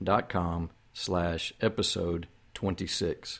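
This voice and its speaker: A man speaks. The recording is very clean, with a silent background. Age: 50s. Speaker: podcast host, foster and adoptive dad. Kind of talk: solo podcast monologue, encouraging talk. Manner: conversational, with fillers and repetitions.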